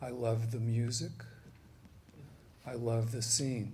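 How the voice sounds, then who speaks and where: In a somewhat breathy, dark and mellow tone, a man with an American accent talks fairly slowly at medium pitch, monotone and flat, with audible room echo. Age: 60s. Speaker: panelist, psychologist. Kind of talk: panel talk. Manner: halting.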